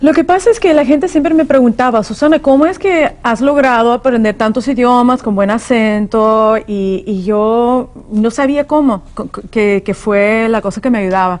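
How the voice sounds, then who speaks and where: A woman's fairly high voice with lively intonation, a moderate pace and hardly any pauses. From California, US (born in Soviet Union). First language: Russian (speaking Spanish). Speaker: author and language teacher. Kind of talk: interview.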